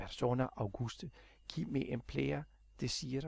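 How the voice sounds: The speaker has a natural reading voice.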